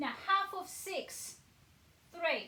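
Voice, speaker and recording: A woman's bright, sharp voice with audible room echo. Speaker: maths teacher. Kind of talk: tutorial.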